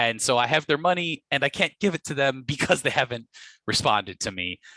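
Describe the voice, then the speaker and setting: A man of medium pitch with an American accent, bright, sharp tone and lively intonation, at a moderate pace, dry and close with no echo, over a quiet background. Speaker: property tax lawyer. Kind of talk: webinar presentation.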